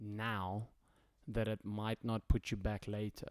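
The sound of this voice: Fairly low in pitch and fairly slow in pace, a man speaks with a slightly mellow tone.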